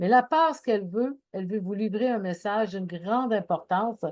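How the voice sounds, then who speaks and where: A woman speaks at a moderate pace with medium pitch and ordinary pitch variation. It is a normal speaking voice. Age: 60s. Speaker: anxiety and wellness speaker. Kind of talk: talk.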